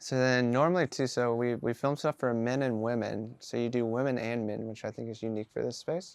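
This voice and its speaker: Against a quiet background, a man speaks at a medium pitch with fairly even intonation. He keeps a fairly quick pace with hardly any pauses. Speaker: podcast host and founder. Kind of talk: casual chat while receiving a facial. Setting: lying on a treatment table.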